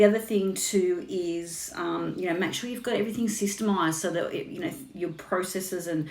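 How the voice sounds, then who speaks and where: Amid audible room echo, a woman with an Australian accent and vocal fry talks at a fairly quick pace with ordinary pitch variation. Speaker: business coach. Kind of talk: casual chat. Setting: Instagram live stream. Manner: fast.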